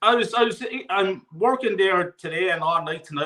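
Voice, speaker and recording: A man with lively intonation over music in the background. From Ireland. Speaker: football fan on live stream. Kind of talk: casual chat.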